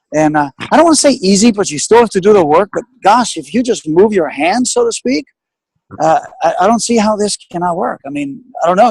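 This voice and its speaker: With very wide pitch swings, a man talks at a fairly quick pace in a dry, close sound with no echo. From Greece, Athens. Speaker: business guest speaker. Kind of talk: webinar interview. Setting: online webinar call. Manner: fast.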